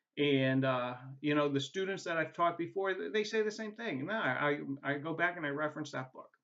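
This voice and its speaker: Here is a man with a fairly high pitch. He speaks at a fairly quick pace. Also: ordinary pitch variation. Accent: New England. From New England. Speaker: adjunct professor. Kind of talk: course welcome video. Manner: casual, halting with many fillers.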